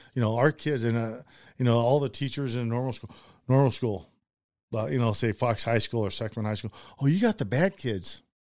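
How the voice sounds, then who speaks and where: This man has a plain, everyday voice of medium pitch. He talks fairly quickly, and his pitch varies in an ordinary way. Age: 50s. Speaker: former pro football punter. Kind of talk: casual chat.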